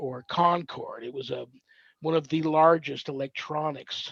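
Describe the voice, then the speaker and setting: Fairly even intonation with an American accent. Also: man. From Southern California. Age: 60s. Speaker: paranormal minister and navy veteran. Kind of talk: podcast interview. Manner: halting; casual.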